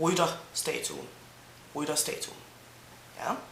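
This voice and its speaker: A woman with a Danish accent at a fairly slow pace, with audible room echo and noticeable background noise. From Denmark, Zealand. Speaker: language teacher vlogger. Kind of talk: language tutorial. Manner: mumbling a bit.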